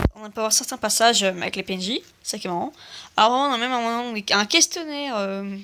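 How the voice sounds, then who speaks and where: The voice has a bright, sharp tone and moves at a fairly quick pace. Its intonation is lively, with big swings in loudness. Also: woman. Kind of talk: casual mobile game presentation. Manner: hesitant, many filler words.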